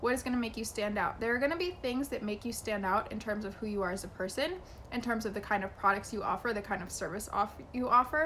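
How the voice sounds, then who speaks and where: Her fairly high voice moves at a very fast pace with ordinary pitch variation. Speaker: business coach and YouTuber. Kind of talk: vlog tutorial. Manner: animated.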